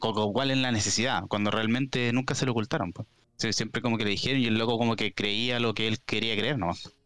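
A man speaks at a medium pitch and a very fast pace. His intonation is fairly even and his loudness very even. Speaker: podcast guest. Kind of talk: casual chat. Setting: live-streamed podcast.

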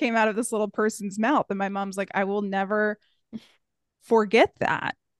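A woman's plain, everyday voice in an American accent at a moderate pace. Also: dry, close sound with no echo. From US small town. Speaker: podcast co-host. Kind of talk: interview conversation; scripted outro.

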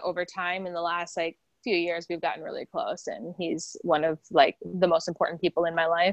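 Here a woman with an American accent uses a plain, everyday voice, with medium pitch and a moderate pace. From South Dakota, US Midwest. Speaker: actress and singer. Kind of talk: interview.

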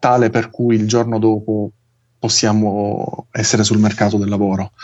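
In a flat monotone, a man speaks with a fairly low pitch. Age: 30s. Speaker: engineer. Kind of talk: casual interview.

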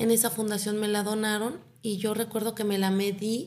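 At a fairly quick pace, a woman talks in a normal speaking voice, medium in pitch with fairly even intonation. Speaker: psychologist and breast cancer foundation founder. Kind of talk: interview.

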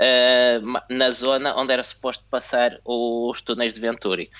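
A very slow delivery in a European Portuguese accent. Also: man. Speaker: F1 podcast co-host. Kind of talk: casual chat. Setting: video call.

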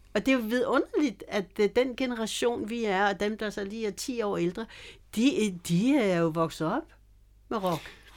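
A woman with an unremarkable speaking voice, fairly high in pitch, speaks at a fairly slow pace with lively intonation on a very clean recording with a silent background. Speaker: bass player. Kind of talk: casual interview.

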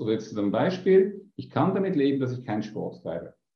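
Audible room echo surrounds a man's somewhat breathy, medium-pitched voice with lively intonation. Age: 50s. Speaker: business coach. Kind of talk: interview.

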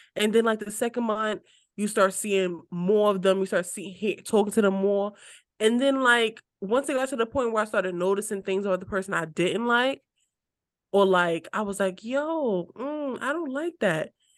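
A plain, everyday voice, its pitch varying in an ordinary way, talks at a moderate pace. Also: woman, medium pitch for a woman, quiet background. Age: 20s. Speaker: podcast co-host. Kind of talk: casual chat.

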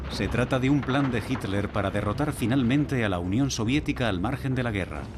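A man speaks in a solemn, dramatic tone with lively intonation. Noticeable background noise is present. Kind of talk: documentary narration. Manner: solemn, dramatic, measured; ominous, gripping storytelling.

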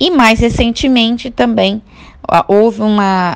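Very slowly, a woman speaks, her pitch varying in an ordinary way. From Florianópolis, southern Brazil. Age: 20s. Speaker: doctoral student and activist. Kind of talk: podcast interview.

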